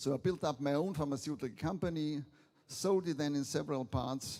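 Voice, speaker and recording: Heard in a very clean recording over a silent background, a man with a Viennese accent has a dark, mellow tone and a fairly high pitch with ordinary variation. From Austria, Vienna. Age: 70s. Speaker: business angel, keynote speaker. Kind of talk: conference keynote.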